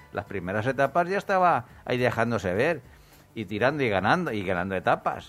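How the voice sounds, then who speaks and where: Over music in the background, the speaker moves at a fairly quick pace with very wide pitch swings. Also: man, medium pitch for a man. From Murcia region, Spain. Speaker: radio host. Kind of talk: casual radio chat. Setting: radio studio. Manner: halting.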